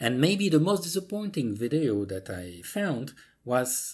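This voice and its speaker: A somewhat breathy voice at a fairly slow pace with very wide pitch swings, over a quiet background. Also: man. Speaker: tutorial maker. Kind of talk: tutorial. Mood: mildly indignant, persuasive.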